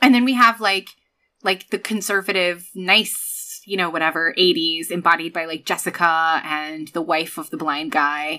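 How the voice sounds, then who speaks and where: A very clean recording with a silent background of a woman at a moderate pace. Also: ordinary pitch variation. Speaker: podcast co-host. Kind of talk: casual chat. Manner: animated, teasing.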